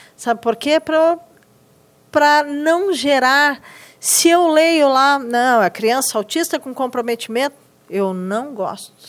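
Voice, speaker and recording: A woman with a strong Rio Grande do Sul accent speaks very slowly in a high pitch with lively intonation. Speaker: teacher in inclusive education. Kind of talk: podcast interview.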